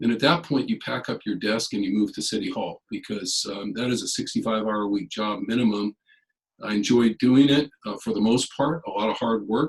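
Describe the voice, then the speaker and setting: At a fairly quick pace, a man talks with a Californian accent. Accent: General American (Californian). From US West, California (San Jose area). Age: 60s. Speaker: political candidate. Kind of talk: candidate forum statement. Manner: hesitant, many fillers.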